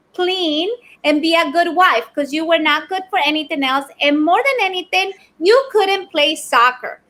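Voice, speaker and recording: A woman speaks in an extremely high, bright and sharp voice, raised and projected. Her pace is fairly slow and her intonation lively. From Ecuador. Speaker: business owner, keynote speaker. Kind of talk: podcast interview answer.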